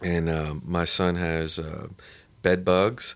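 Very slow and very deep in pitch, a man speaks with fairly even intonation on a very clean recording with a silent background. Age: 30s. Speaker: attorney. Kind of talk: casual chat. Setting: studio.

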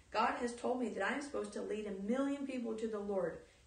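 A woman's fairly high voice keeps fairly even intonation while noticeable background noise runs beneath it. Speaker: Bible study co-leader. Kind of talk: Bible study teaching.

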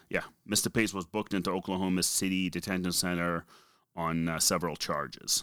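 Speaking with a strong Boston accent, a man talks at a fairly quick pace with a very deep, low pitch and fairly even intonation, in a very clean recording with a silent background. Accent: heavy Boston. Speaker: podcast co-host. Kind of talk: casual, conversational, reading a news synopsis aloud.

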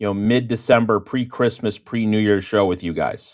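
A man with an American accent at a fairly quick pace, monotone and flat in intonation, on a very clean recording with a silent background. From US West (Phoenix, Seattle). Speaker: college football writer and editor. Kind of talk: casual chat.

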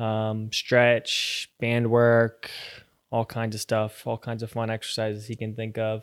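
Over a silent background in a very clean recording, a man with an American accent speaks at a moderate pace and medium pitch in a monotone, flat intonation. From Virginia, US. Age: 20s. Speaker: professional footballer. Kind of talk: casual chat.

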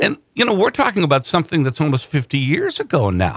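A man with an Upper Midwest accent speaks at a moderate pace and fairly high pitch, with vocal fry. His pitch swings very widely, and the sound is dry and close with no echo. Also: very clean recording, silent background. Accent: Upper Midwest American. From Wisconsin, Madison area. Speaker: political podcast host. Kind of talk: political discussion.

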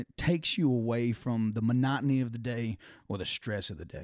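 With a Southern US accent, a man speaks using ordinary pitch variation. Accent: Southern US (Georgia). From Georgia, US South (Thomaston). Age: 20s. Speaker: musician and football strength coach. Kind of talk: casual chat.

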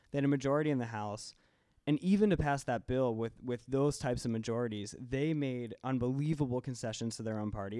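A man's medium-pitched, dark and mellow voice at a very fast pace, with ordinary pitch variation, on a very clean recording over a silent background. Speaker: guest on Congress and politics. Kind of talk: casual panel discussion.

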